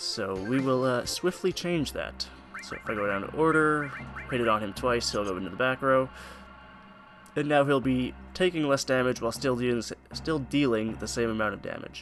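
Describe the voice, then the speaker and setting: A man's medium-pitched voice is heard with music going in the background. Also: ordinary pitch variation. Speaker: gaming video creator. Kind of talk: gameplay commentary. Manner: fast; casual, halting with fillers.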